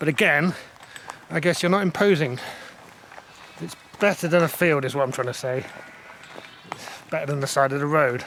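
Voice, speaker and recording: Noticeable background noise surrounds a man with a fairly high pitch. He speaks at a fairly quick pace but leaves long, frequent pauses. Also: ordinary pitch variation. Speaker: solo hiking vlogger. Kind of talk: casual vlog narration. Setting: outdoors. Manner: quiet, hushed.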